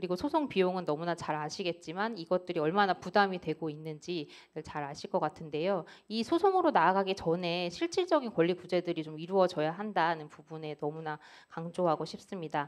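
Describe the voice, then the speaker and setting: A woman talks at a fairly quick pace with hardly any pauses. Her pitch is fairly low, with ordinary variation. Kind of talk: panel discussion statement. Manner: fast.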